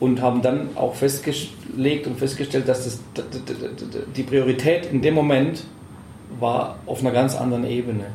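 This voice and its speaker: Monotone, flat delivery at a moderate pace with long, frequent pauses, audible room echo and music in the background. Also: man, medium pitch for a man. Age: 40s. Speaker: professor and club advisory board member. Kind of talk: interview. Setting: club office.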